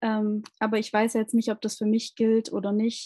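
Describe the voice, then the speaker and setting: A woman speaks with a somewhat breathy, dark, mellow tone at a fairly high pitch. The sound is dry and close, with no echo. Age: 20s. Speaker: social worker and endometriosis patient. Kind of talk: interview about her own illness. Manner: hesitant, many fillers.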